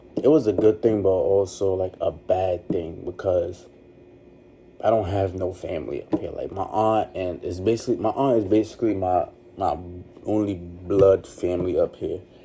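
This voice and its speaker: A man speaks at a moderate pace with a fairly low pitch. His tone is dark and mellow, and somewhat breathy. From Trinidad and Tobago. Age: 20s. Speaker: vlogger. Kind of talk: personal storytelling monologue. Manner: casual, halting.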